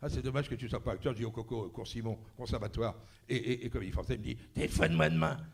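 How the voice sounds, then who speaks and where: A man talking at a very fast pace with vocal fry and lively intonation, over audible room echo. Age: 70s. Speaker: actor. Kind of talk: panel talk anecdotes. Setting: stage with audience. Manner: animated.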